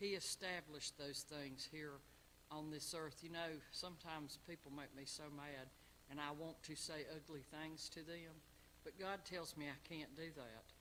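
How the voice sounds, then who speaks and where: Bright and sharp in tone, a man with a fairly high pitch speaks at a moderate pace with fairly even intonation. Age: 60s. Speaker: Sunday school teacher. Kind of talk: Bible lesson. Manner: halting.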